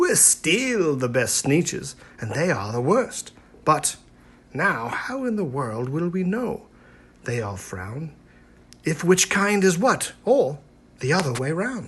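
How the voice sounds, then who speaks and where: In a put-on character voice, the speaker goes at a fairly slow pace with very wide pitch swings and long, frequent pauses. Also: man, high pitch for a man. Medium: read story. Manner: snooty, haughty.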